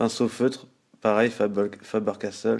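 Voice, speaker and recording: The speech moves at a fairly slow pace with flat, monotone intonation. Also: man. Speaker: artist showing drawing supplies. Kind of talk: tutorial. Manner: hesitant, many fillers.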